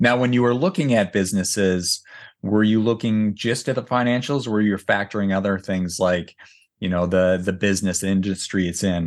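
A man speaks in a normal speaking voice at a fairly low pitch and a moderate pace, with ordinary pitch variation over a quiet background. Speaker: podcast host. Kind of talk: interview, conversational.

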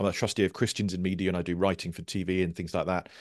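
This man has a very deep, low pitch and talks at a very fast pace. The sound is dry and close with no echo, over a quiet background. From Surrey, southern England (Guildford). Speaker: comedy writer and broadcaster. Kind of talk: casual interview.

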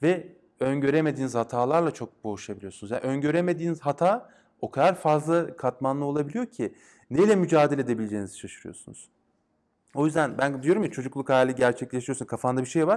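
A fairly high-pitched male voice at a very fast pace, with ordinary pitch variation. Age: 30s. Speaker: game designer and academic. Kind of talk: casual interview. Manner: hesitant, many fillers.

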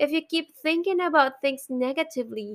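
A woman with a Filipino accent, high-pitched and lively in intonation, at a moderate pace, in a very clean recording with a silent background. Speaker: podcast host. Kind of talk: casual monologue. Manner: halting, frequent fillers and sighs.

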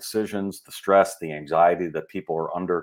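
A man with an American accent speaks in a very deep, low voice with fairly even intonation against a quiet background. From Chicago suburbs, US Midwest. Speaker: executive recruiter and behavioral scientist. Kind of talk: interview.

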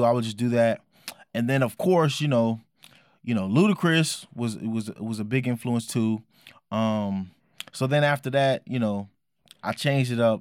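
On a very clean recording with a silent background, a man of medium pitch speaks at a moderate pace with ordinary pitch variation and long, frequent pauses. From Oakland, California. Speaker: hip hop artist. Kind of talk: casual interview.

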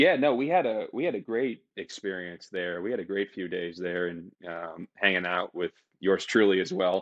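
With an American accent and an ordinary speaking voice, a man speaks at a moderate pace with hardly any pauses, using a fairly low pitch and ordinary pitch variation. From Boston, Massachusetts. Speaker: private equity associate, former pro baseball player. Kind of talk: interview conversation.

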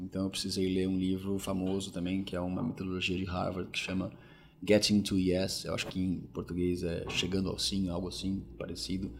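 A man talks in a very deep, low pitch at a fairly quick pace. His intonation stays monotone and flat. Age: 40s. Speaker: logistics executive. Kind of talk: interview. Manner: hesitant, many filler words.

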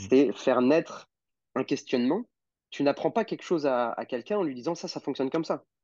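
Fairly high-pitched yet dark and mellow in tone, a man speaks fairly quickly with lively intonation, the sound dry and close with no echo over a quiet background. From France (Normandy / Lyon). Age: 20s. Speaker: osteopath. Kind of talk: casual interview.

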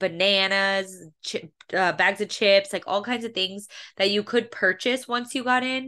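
A woman speaks at a medium pitch in an unremarkable speaking voice against a quiet background. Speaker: podcast host. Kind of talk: casual chat.

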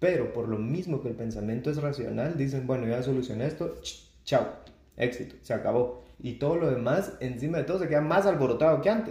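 Speaking with a Guatemalan accent, a man has a medium pitch, a dark, mellow tone and a somewhat breathy sound. His pace is fairly quick, his pitch variation ordinary, and the room echo audible. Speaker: clinical psychologist. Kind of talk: casual interview conversation.

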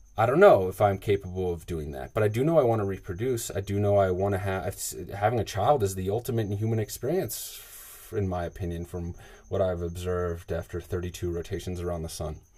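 In a very clean recording with a silent background, a man talks at a fairly quick pace with a very deep, low pitch, a dark, mellow tone, a somewhat breathy quality and ordinary pitch variation. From US South, suburban Atlanta, Georgia. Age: 30s. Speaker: podcast host. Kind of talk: personal monologue. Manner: casual, halting with fillers.

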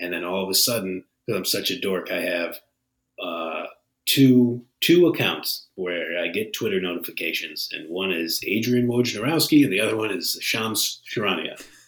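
With an American accent, a man has a plain, everyday voice, fairly low in pitch, with lively intonation and a moderate pace. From Northeast Ohio, US. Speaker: sports betting podcast co-host. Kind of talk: casual chat.

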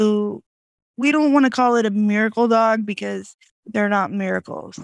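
The recording is very clean, with a silent background and a dry, close sound with no echo. It carries a normal speaking voice with fairly even intonation. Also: woman. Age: 30s. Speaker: motivational speaker. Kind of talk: casual chat.

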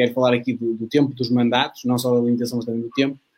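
A man talking at a very fast pace. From Portugal, Maia (Porto area). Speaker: youth political organization moderator. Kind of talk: debate moderation. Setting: online livestream.

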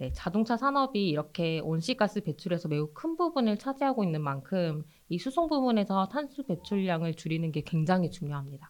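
Using a medium pitch, a woman talks with hardly any pauses and very wide pitch swings. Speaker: climate campaigner. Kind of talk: informative interview chat.

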